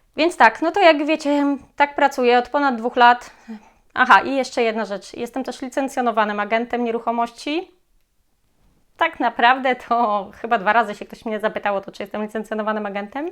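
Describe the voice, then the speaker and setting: Her voice sits high, with ordinary pitch variation, big swings in loudness and a fairly quick pace from this woman. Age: 30s. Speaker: real estate agent. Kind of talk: casual vlog self-introduction.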